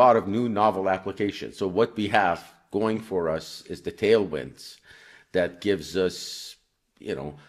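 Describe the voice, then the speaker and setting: He has an ordinary speaking voice, fairly low in pitch with ordinary variation. The man talks at a fairly slow pace. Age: 60s. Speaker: company CEO. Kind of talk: interview.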